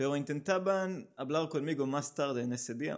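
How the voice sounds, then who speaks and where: With a Hebrew accent, a man speaks in a fairly high voice with ordinary pitch variation against a quiet background. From Israel. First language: Hebrew (speaking Spanish). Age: 30s. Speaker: amateur runner, running group organizer. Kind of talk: casual interview. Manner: halting.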